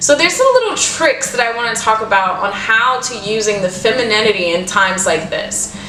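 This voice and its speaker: The voice is animated, with lively intonation. Music in the background mixes with audible room echo. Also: woman. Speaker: podcast host. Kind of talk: casual monologue. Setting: new home studio. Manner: loud.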